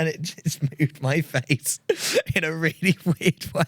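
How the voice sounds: A man speaks at a fairly slow pace with a fairly high pitch, a fairly bright tone and fairly even intonation.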